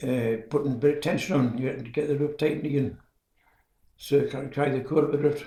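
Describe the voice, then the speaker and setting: Fairly high-pitched and somewhat breathy, a man at a moderate pace with ordinary pitch variation. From Northumberland, England. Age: 90s. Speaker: retired coal miner and church organist. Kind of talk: interview answer. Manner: hesitant, rambling.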